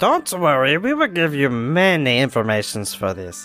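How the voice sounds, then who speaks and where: Over clear music in the background, a put-on character voice speaks at a moderate pace in a low-to-middle pitch. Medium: actual play. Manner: sly, broken grammar.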